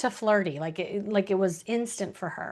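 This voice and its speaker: A woman with an American accent speaks at a fairly slow pace and a medium pitch, her intonation lively. Hers is an unremarkable speaking voice, set against a quiet background. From Chicago. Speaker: dating coach. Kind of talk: live online workshop.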